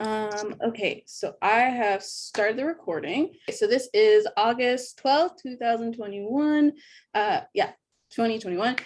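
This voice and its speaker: A woman's fairly high, lively voice at a fairly slow pace, a normal speaking voice. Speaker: interviewer. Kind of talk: interview question.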